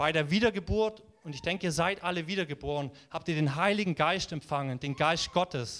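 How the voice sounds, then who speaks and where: A man with a high voice talks at a moderate pace, his pitch rising and falling in an ordinary way. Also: very clean recording, silent background. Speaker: preacher. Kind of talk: sermon. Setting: church. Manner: animated, warm and encouraging, preaching with conviction; conversational, with occasional filler words and self-corrections.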